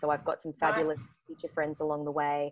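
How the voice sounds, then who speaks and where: A woman speaks in a very deep, low voice with an Australian accent. The sound is dry and close with no echo, and the background is quiet. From Queensland, Australia (Brisbane). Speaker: actor and script writer. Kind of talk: casual interview chat. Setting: remote call.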